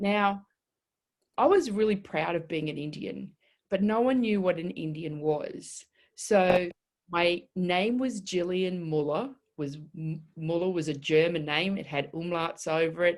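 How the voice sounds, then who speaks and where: Speaking with an Australian accent, a woman talks at a fairly slow pace in a fairly low pitch with ordinary pitch variation. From northwest Queensland, Australia (childhood from about seven). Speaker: body language expert. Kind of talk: interview. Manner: halting with fillers.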